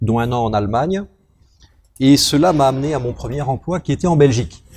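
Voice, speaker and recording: Speaking at a fairly quick pace, a man's somewhat breathy voice carries lively intonation. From France, moved often (Algeria, Gabon, northern France, Brittany). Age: 40s. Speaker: company director. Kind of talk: interview.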